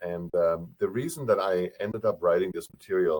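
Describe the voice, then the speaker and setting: In a German accent, a man speaks at a fairly quick pace. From Germany. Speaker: professor and author. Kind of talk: webinar presentation. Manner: mumbles a little; speaks fast when excited.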